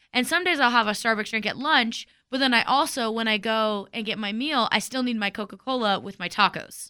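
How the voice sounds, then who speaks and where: Against a quiet background, a woman with an American accent and a plain, everyday voice of fairly high pitch speaks at a fairly quick pace with hardly any pauses and ordinary pitch variation. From Texas. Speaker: radio morning show co-host. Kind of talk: casual chat.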